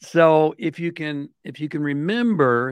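With an American accent, a man speaks in an unremarkable speaking voice, fairly high in pitch and with lively intonation, and the sound is dry and close with no echo over a quiet background. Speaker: author and consultant guest.

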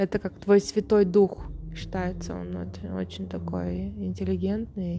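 Speaking at a very slow pace, a woman's voice shows big swings in loudness. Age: 30s. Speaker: meditation teacher and podcaster. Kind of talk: monologue talk show. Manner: halting.

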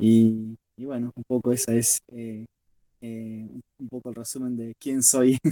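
This man's voice has a medium pitch and a dark, mellow tone, delivered at a very slow pace with monotone, flat intonation. His loudness swings widely, and the sound is dry and close with no echo. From Argentina, Rosario. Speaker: blind football player. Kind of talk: interview. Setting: remote link.

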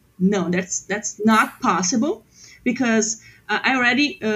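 Speaking at a fairly slow pace, a woman with a somewhat breathy voice uses ordinary pitch variation. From southern Brazil, Porto Alegre. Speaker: designer. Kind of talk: casual chat.

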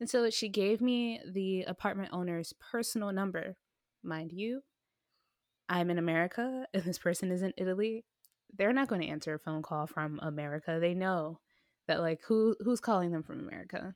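Recorded very cleanly against a silent background, with a dry, close sound and no echo, a woman in an unremarkable speaking voice speaks at medium pitch and a moderate pace, her pitch moving in an ordinary way. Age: 20s. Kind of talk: casual chat.

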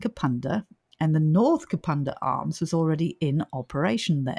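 A woman's somewhat breathy voice comes through dry and close, with no echo. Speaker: paranormal podcast host. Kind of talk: casual chat.

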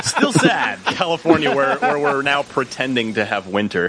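With a playful tone and lively intonation, a man speaks at a moderate pace and fairly high pitch amid noticeable background noise. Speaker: podcast guest. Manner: jokey, playful.

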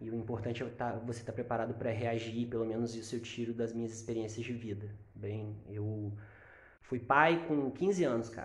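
Somewhat breathy and medium-pitched, a man talks with fairly even intonation as audible room echo surrounds him. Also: moderate pace. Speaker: podcast co-host, insurance broker. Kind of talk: casual chat.

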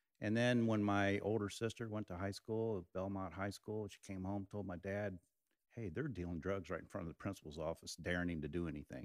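A man speaking at a fairly quick pace with ordinary pitch variation, on a very clean recording with a silent background. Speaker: business manager. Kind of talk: casual chat.

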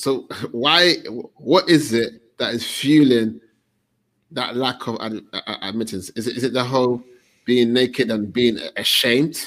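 This man has a plain, everyday voice with a medium pitch. He talks fairly slowly, and his pitch varies in an ordinary way. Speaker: men's group host. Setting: online livestream with comments.

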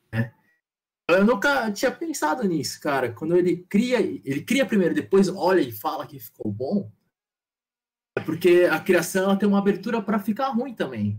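High male pitch swinging very widely, at a moderate pace. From São Paulo, Brazil, Taiwanese descent. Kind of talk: casual chat. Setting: live stream.

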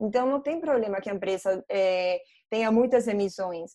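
Fairly high female voice, fairly quick in tempo, with ordinary rises and falls in pitch. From Colombia. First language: Spanish (speaking Portuguese). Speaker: ESG investment analyst. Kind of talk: online panel debate. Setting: video call.

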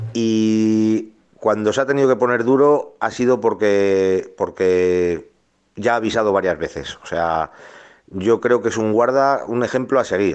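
Fairly low in pitch, a man speaks at a fairly slow pace with ordinary pitch variation. He has an unremarkable speaking voice. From Álava, Basque Country. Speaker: listener sending voice message. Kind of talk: voice message.

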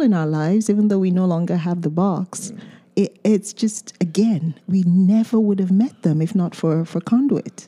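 In a dry, close recording with no echo, a woman speaks at medium pitch with lively intonation and a dark, mellow, somewhat breathy tone. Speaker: home care business co-owner. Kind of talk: casual chat.

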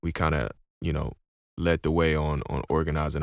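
A man's very deep, low voice with an American accent, fairly quick and in monotone, flat intonation. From Houston, Texas. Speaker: podcast host, rapper and church teacher. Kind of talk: casual chat. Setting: video call.

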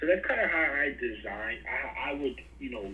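A man with a New York accent talks at a fairly quick pace. Room echo is audible, along with noticeable background noise. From Brooklyn, New York. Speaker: podcast host, guest. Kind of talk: casual interview chat. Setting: video call.

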